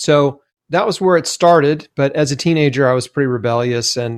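A man with an American accent speaks at a moderate pace in a normal speaking voice. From Tennessee, US South. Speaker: cancer survivor and health author. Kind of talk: interview.

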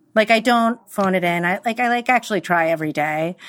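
This speaker has an American accent and lively intonation. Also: woman. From New York. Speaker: interior designer. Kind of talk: interview conversation.

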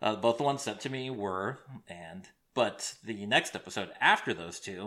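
Recorded very cleanly against a silent background, a man with a US Midwestern accent speaks at a fairly low pitch in a bright, sharp tone. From Iowa, US Midwest. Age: 30s. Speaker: true crime podcast host. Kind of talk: casual solo podcast monologue. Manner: rambling, hesitant with fillers.

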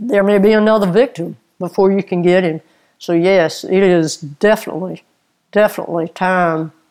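A woman speaks in a Lowcountry South Carolina accent at a medium pitch and moderate pace. Her intonation is fairly even, and the recording is very clean with a silent background. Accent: US Southern (South Carolina Lowcountry). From South Carolina, Orangeburg area. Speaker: retired crime scene investigator and author. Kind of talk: interview.

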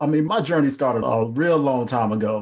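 A man with an ordinary speaking voice, a moderate pace and fairly even intonation. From North Carolina. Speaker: entrepreneur and author. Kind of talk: interview.

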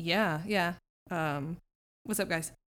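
A woman puts on a character voice. Her delivery is raspy and fairly low in pitch. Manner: casual, friendly.

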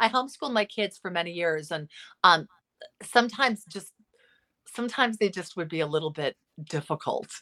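A woman with a Californian accent speaks at a fairly quick pace yet with long, frequent pauses, her medium-pitched voice bright and sharp with lively intonation. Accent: Californian American. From Los Angeles, US. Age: 50s. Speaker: psychotherapist. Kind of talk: interview.

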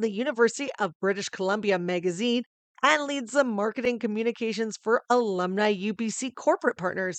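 With an animated tone, a woman talks at a moderate pace and a fairly high pitch in a dry, close sound with no echo. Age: 30s. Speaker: radio broadcaster and podcast co-host. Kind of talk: casual chat.

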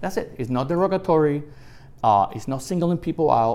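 With a Puerto Rican accent, a man talks at a fairly quick pace, his fairly high pitch carrying lively intonation. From Puerto Rico. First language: Spanish. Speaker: retired federal immigration agent. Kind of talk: interview.

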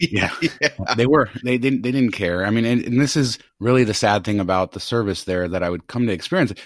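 A man's medium-pitched voice with lively intonation, on a very clean recording with a silent background. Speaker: podcast host. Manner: measured pace, not a fast talker.

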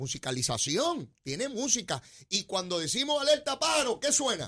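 A man talks at a moderate pace in an animated tone, his pitch swinging very widely. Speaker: radio host. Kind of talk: casual chat. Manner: animated, conversational.

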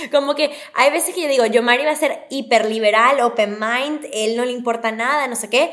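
A woman with a high-pitched voice speaks at a moderate pace with ordinary pitch variation, on a very clean recording with a silent background. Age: 20s. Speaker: TV presenter. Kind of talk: casual interview chat.

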